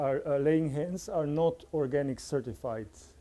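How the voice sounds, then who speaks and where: Fairly slow and dark, mellow in tone, a man with a Slovene accent speaks with ordinary pitch variation. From Slovenia. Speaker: farmer. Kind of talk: conference talk. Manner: halting.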